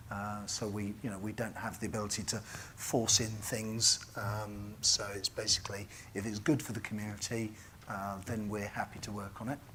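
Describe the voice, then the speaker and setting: A man's fairly low, monotone, flat delivery in a British accent, with audible room echo. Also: moderate pace. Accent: British BBC. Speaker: conference keynote speaker, software company representative. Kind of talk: conference keynote talk. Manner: halting, many fillers.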